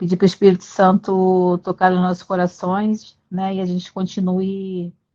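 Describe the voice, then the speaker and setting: A woman's medium-pitched voice, dark and mellow, at a fairly slow pace with a dry, close sound and no echo. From Brazil, Rio de Janeiro. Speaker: physical education teacher, study group member. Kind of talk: casual self-introduction in group video call.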